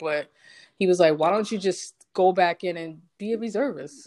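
The speaker is a woman. She talks in an American accent. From Brooklyn, New York. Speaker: Marine Corps veteran. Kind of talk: casual chat. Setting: internet call.

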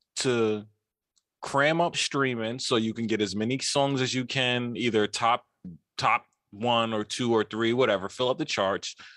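On a very clean recording with a silent background, a speaker talks at a fairly slow pace with a New York accent. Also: man. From New York (Queens). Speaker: podcast co-host. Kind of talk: casual chat. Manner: animated.

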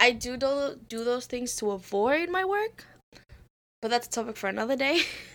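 A woman with a non-native accent talks at a moderate pace. Her high voice carries lively intonation. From immigrant to the US. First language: not English. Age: 20s. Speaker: student podcast co-host. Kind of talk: casual chat.

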